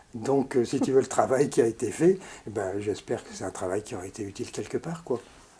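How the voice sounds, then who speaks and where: A man with a medium-pitched, somewhat breathy, dark and mellow voice speaks at a fairly quick pace with lively intonation. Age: 80s+. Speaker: painter. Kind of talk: interview. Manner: halting.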